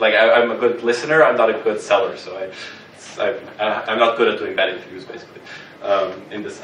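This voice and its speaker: Recorded with audible room echo and noticeable background noise, a man speaks at a fairly quick pace with big swings in loudness. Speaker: workshop instructor. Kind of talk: workshop lecture. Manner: halting, many fillers and repetitions.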